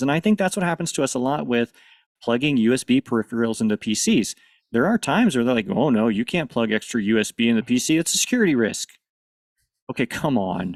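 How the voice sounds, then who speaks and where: A man with an American accent talks at a very fast pace, his medium-pitched voice carrying lively intonation. The recording is very clean, with a silent background and a dry, close sound with no echo. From US Midwest, northern Missouri. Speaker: panelist, AV technology professional. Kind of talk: conference panel discussion.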